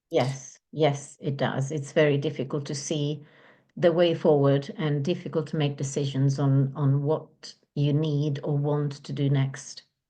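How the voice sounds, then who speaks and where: Very deep and low in pitch, a woman speaks with an Italian accent and a dark, mellow tone. Her delivery is monotone and flat against a quiet background. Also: fairly slow pace. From Italy. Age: 50s. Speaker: divorce and relationship coach. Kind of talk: interview.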